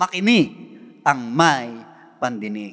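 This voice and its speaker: This is a man speaking. He has a Filipino accent. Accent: Filipino English and Tagalog. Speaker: pastor. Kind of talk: sermon preaching. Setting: church. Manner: earnest, exhortative preaching; formal, Tagalog mixed with English phrases.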